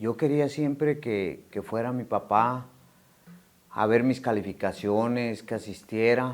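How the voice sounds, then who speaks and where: The recording is very clean with a silent background, and the speech is very slow with ordinary pitch variation. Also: man. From Mexico, Morelia, Michoacán. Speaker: recovering addict, ex-prisoner. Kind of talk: testimony. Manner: halting, many fillers.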